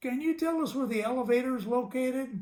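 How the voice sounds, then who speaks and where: A man talks at a very fast pace in a put-on character voice. His pitch is extremely high. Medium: read story. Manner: ungrammatical, streetwise.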